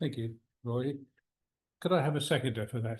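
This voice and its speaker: Against a quiet background, the speech moves at a moderate pace with ordinary pitch variation. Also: man. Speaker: meeting chair. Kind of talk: formal meeting chairing. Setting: meeting room with online attendees.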